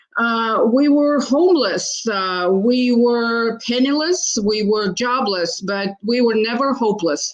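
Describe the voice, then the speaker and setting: A woman's fairly high, very slow voice with lively intonation, hardly any pauses and noticeable background noise. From Ukraine, Odessa. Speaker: congressional candidate. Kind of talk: political debate.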